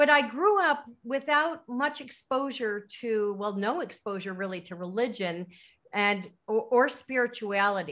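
Against a quiet background, a woman speaks with lively intonation at a fairly high pitch. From US Midwest, Chicago suburbs. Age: 50s. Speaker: author and retired educator. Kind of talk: interview. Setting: remote call. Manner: halting, many fillers.

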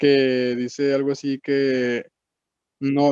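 This man has a northern Mexican accent and a fairly high pitch. His tone is dark and mellow, and his intonation stays monotone and flat. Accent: northern Mexican (regio) Spanish. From Monterrey, Mexico. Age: young. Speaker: music producer. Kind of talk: casual chat.

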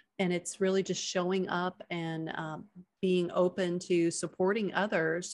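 An unremarkable speaking voice goes at a fairly slow pace on a very clean recording with a silent background. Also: woman. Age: 50s. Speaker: retired chiropractor and coach. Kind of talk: casual interview.

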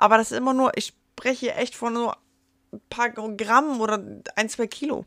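A woman talks at a fairly slow pace in a bright, sharp tone with fairly even intonation. The sound is dry and close with no echo. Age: 30s. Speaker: podcaster. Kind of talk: casual monologue. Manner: unscripted, with slips and fillers.

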